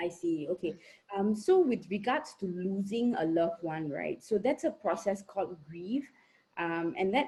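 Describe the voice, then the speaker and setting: Somewhat breathy and dark, mellow in tone, a woman speaks at medium pitch and a fairly slow pace with lively intonation. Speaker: psychologist. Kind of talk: Q&A answer in online talk. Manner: soft-spoken, too quiet at first.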